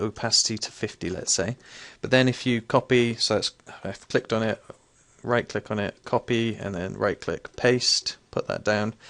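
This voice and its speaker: This man's voice carries vocal fry. He speaks at a moderate pace. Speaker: game tutorial youtuber. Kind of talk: tutorial. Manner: casual, hesitant with fillers.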